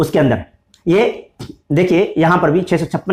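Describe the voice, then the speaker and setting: This man talks at a moderate pace in a high pitch with ordinary pitch variation. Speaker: Islamic scholar. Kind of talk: religious lecture. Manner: halting.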